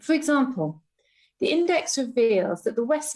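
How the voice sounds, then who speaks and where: A woman at a moderate pace with very wide pitch swings, music in the background. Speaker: Legatum Institute CEO and member of the House of Lords. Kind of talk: parliamentary speech. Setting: legislative chamber.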